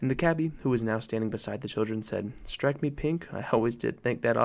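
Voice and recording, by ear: The delivery is natural. It is reading aloud.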